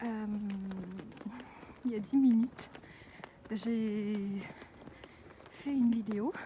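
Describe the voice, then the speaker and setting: A woman is speaking with fairly even intonation. There is noticeable background noise. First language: not French (speaking French). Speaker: vlogger. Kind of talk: casual vlog. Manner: halting.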